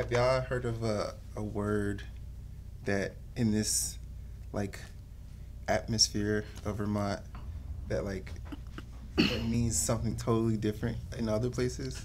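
Noticeable background noise around a man speaking at a fairly slow pace. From US South. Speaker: media intern on a panel. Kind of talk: casual panel discussion. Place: studio.

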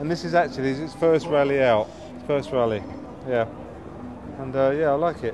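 A man talks with ordinary pitch variation, leaving long, frequent pauses. Background noise can be clearly heard. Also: fairly quick pace. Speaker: classic car owner. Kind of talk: interview. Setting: outdoors. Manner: halting. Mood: proud, casual. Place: street. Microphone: camera far.

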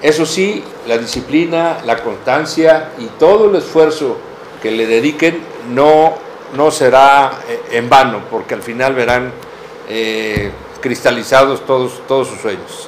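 A man at a very slow pace and a fairly high pitch, with ordinary pitch variation, big swings in loudness and light background noise. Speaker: professor and doctoral student. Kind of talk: interview. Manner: halting. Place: office. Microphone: camera far.

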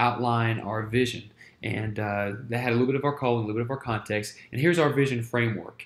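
A man talks with an American accent at medium pitch. His pitch varies in an ordinary way. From US South, Winston-Salem, North Carolina; North Carolina. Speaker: church planter and ministry teacher; ministry teacher. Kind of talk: lecture. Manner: halting, many fillers. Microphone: webcam.

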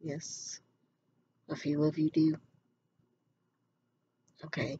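Soft-spoken and at a very slow pace, the voice sits over light background noise. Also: woman. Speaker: ASMR role play as event planner. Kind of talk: ASMR role play, event planner. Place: home room. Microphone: webcam.

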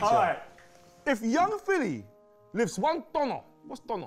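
A man speaks very slowly with an African accent, his pitch extremely high. Faint music plays in the background. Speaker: quiz host, former teacher. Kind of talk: playful, classroom-style quizzing. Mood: jokey, teasing. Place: studio.

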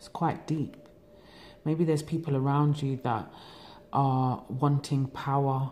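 Against light background noise, a woman with a London accent speaks at a fairly slow pace in a very deep, low voice with a dark, mellow tone, fairly even intonation and long, frequent pauses. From England. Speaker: tarot reader. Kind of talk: tarot reading monologue. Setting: home recording. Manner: relaxed. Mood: calm, reflective. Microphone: phone near.

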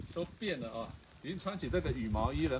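Light background noise runs under a man's speech. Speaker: travel show host. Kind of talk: casual vlog chat. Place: garden. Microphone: phone near.

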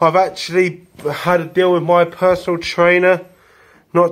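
A man with a high pitch speaks in a flat, monotone way. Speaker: vlogger. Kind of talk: casual vlog chat. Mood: cheerful festive. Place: home room. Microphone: phone near.

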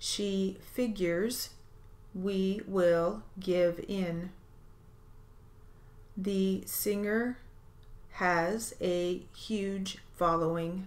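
A woman speaks at a very slow pace with long, frequent pauses. Her intonation is monotone and flat. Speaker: steno dictation reader. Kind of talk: dictation drill.

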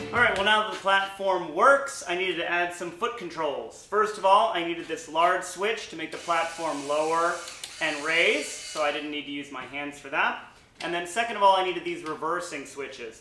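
Over music in the background and audible room echo, a man with a high pitch speaks at a moderate pace with ordinary pitch variation and big swings in loudness. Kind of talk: tutorial. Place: garage. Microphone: camera far.

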